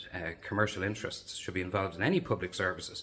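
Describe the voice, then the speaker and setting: This man speaks at a very fast pace with a Dublin accent. His pitch is fairly low, with ordinary pitch variation. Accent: Dublin Irish. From Dublin, Ireland (Lucan). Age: 50s. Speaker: local election candidate. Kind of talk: campaign video monologue.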